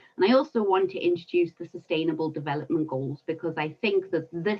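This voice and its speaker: A woman's fairly low voice with a South African accent. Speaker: environmental consultant. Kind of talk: webinar talk.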